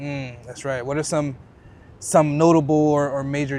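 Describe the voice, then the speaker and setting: Audible room echo follows a man as he speaks at a moderate pace. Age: 20s. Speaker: YouTube interviewer. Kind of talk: casual street conversation. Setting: outdoors.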